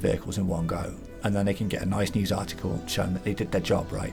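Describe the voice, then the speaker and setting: Someone talks at a very fast pace over music in the background. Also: man. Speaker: channel host. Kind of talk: casual commentary.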